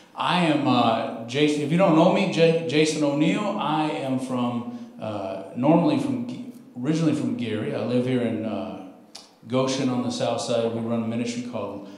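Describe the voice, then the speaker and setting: Lively intonation at a moderate pace, with audible room echo. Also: man. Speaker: guest preacher. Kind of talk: sermon. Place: church.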